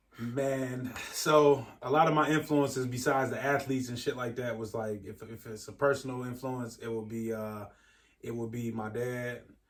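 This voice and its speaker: A man's normal speaking voice at medium pitch and moderate pace, fairly even in intonation but with big swings in loudness. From Michigan, Ypsilanti. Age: 30s. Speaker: motorcycle rider. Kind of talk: casual interview.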